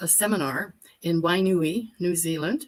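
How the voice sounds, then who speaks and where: Fairly low in pitch, a woman talks at a very slow pace with ordinary pitch variation. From Alberta, Canada. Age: 70s. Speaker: virtues facilitator. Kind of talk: casual chat.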